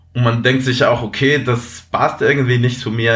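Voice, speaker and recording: A man's medium-pitched voice in a Spanish accent. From Venezuela. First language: Spanish (speaking German). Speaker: apprentice, former student. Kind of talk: interview. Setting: remote call. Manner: halting.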